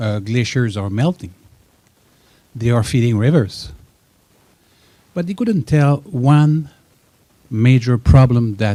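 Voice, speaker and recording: A man with a French accent speaks very slowly at a medium pitch, his intonation lively and his pauses long and frequent. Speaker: audience member. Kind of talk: audience question. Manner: halting.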